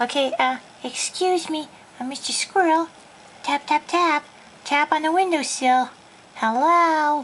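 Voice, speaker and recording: A high-pitched, cartoonish character voice speaks at a fairly slow pace. Long pauses come often. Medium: puppet.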